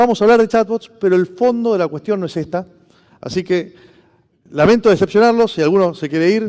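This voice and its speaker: A man with a Rioplatense accent speaks at a fairly quick pace, his high-pitched voice dark and mellow in tone, with lively intonation. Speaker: former public official, conference speaker. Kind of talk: conference talk. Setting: stage with audience. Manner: fast.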